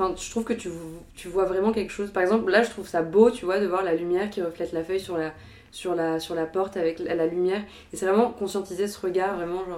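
A woman speaks at a very fast pace and a medium pitch, her intonation fairly even. Noticeable background noise sits under her voice. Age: 20s. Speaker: art history student. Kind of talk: casual chat.

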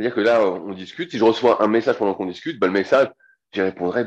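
In a quiet background, a man speaks at a very fast pace with medium pitch and ordinary pitch variation. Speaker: strength training coach. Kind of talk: interview. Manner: casual.

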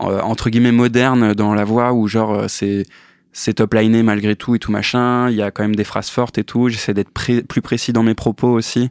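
A man speaks in a monotone, flat intonation, the sound dry and close with no echo. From eastern France (Metz). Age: 30s. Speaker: musician and sound engineer. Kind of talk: casual interview. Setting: studio. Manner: hesitant, many fillers.

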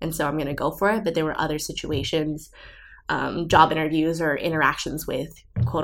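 Speaking very fast in an American accent, a woman uses a very deep, low pitch, fairly even intonation and vocal fry. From Southern California. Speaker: recent college graduate. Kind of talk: interview. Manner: casual, filler-heavy with um and like.

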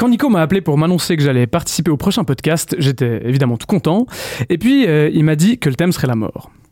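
Over noticeable background noise, a man talks very fast, his pitch swinging very widely. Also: fairly high pitch for a man. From Switzerland, Vaud. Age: 30s. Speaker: guest columnist. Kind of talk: casual chat. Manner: halting.

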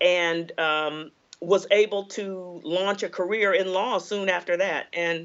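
A woman speaks at a fairly slow pace. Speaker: law professor and author. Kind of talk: interview. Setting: interview. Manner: engaging.

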